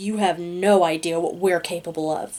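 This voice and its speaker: A put-on character voice at middle pitch delivers its lines at a moderate pace in a monotone, flat intonation. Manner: sickeningly sweet, threatening.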